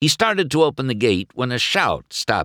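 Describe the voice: Reading aloud, plain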